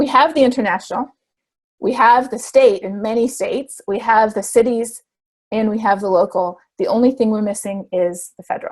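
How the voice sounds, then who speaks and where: The speaker goes at a moderate pace with ordinary pitch variation. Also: woman, fairly high pitch for a woman. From Canada. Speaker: climate scientist. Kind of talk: interview answer.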